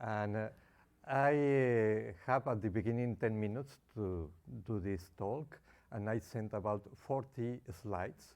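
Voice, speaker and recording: In a Spanish accent, a man speaks at a fairly slow pace with a fairly low pitch and ordinary pitch variation. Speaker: consumer advocacy founder. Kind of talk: conference presentation.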